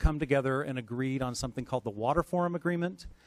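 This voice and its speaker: The man's pitch shifts in an ordinary manner. His sound is dry and close, free of any echo. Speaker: water policy presenter. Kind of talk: workshop presentation.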